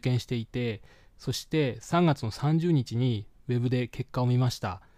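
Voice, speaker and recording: Recorded very cleanly against a silent background, a man with a dark, mellow tone speaks at medium pitch and a moderate pace, with ordinary pitch variation and a dry, close sound free of echo. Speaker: podcast host, English learner. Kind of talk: solo podcast monologue. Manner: hesitant, many fillers.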